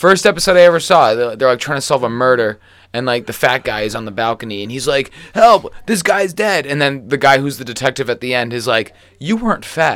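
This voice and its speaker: A man with an unremarkable speaking voice talks at a fairly quick pace in a medium pitch, his intonation lively. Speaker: podcast host. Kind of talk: casual chat.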